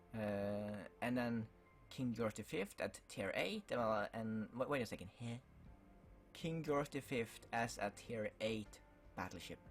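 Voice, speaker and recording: Music plays in the background as a man talks very slowly, his medium pitch showing ordinary variation. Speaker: gaming YouTuber. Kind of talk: casual talk to camera.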